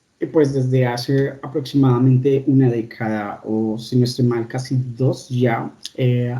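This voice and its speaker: A man's medium-pitched voice carries a dark, mellow tone, is somewhat breathy, and shows ordinary pitch variation. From Colombia. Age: 30s. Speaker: doctor. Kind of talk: interview.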